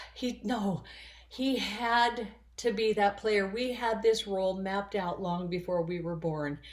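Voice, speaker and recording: This is a normal speaking voice. Its pitch varies in an ordinary way. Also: woman. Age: 60s. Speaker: spiritual vlogger. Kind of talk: personal monologue.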